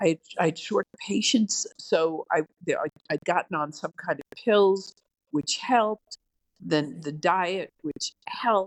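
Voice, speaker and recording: At a very slow pace, a woman speaks in a medium pitch with lively intonation. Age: 70s. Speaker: former district attorney. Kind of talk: interview conversation.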